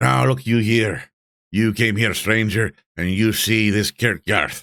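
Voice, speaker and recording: Using a put-on character voice, a man cackles in a raised, projected voice at fairly low pitch and a fairly slow pace. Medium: read story. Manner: scornful, boastful, rambling.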